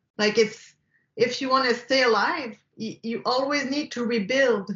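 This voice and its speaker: With a Quebec accent, a woman speaks at a high pitch and a fairly slow pace, her intonation fairly even. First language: French. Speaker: film director. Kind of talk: interview. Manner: halting, frequent repetitions and fillers.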